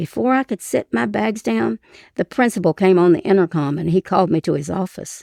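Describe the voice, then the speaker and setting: Against a quiet background, a woman with a fairly low pitch, a dark, mellow tone and vocal fry makes very wide pitch swings in a dry, close sound with no echo. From Eastern Kentucky. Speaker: retired teacher and writer. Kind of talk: personal memoir story reading.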